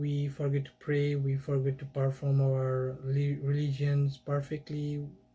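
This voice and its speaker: Somewhat breathy and dark, mellow in tone, a man speaks at a fairly high pitch and a moderate pace. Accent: Bengali. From Bangladesh. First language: Bengali. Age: 20s. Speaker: YouTuber. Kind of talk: casual monologue. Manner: halting.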